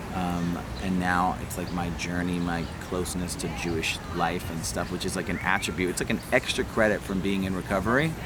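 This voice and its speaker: Over noticeable background noise and audible room echo, a man with a very deep, low pitch speaks at a fairly quick pace with fairly even intonation. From New Jersey, Middlesex County. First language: Hebrew. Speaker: rapper. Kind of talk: personal testimony. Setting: outdoors in a park. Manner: casual, hesitant with fillers.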